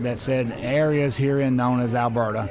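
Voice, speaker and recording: At a moderate pace, a man with an Alabama accent and medium pitch speaks with fairly even intonation, amid noticeable background noise and audible room echo. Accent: Alabama Southern US. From US South. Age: 60s. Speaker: city council president and former TV weatherman. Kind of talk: casual interview chat. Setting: restaurant.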